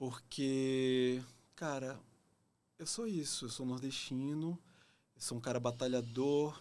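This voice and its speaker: Speaking at a very slow pace with a medium pitch and fairly even intonation, a man talks in a Pernambuco accent. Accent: northeastern Brazilian (Pernambuco). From Brazil, Pernambuco (Recife). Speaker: actor. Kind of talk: podcast interview.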